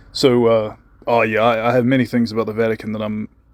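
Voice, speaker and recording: Here a man talks with a New Zealand accent. His pitch sits in the medium range. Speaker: conspiracy channel host. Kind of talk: recorded voice message. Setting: voice message.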